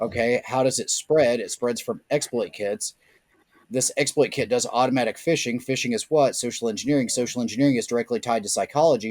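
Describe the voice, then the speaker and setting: A man with an American accent at medium pitch, at a fairly quick pace with ordinary pitch variation, in a dry, close sound with no echo. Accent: Southern US, can be turned up. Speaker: social engineering and security consultant. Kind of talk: podcast interview.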